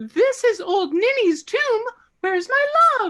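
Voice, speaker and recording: Using a put-on character voice, a woman squeaks at an extremely high pitch with very wide pitch swings and a fairly slow pace. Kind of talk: comic overacting. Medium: stage play.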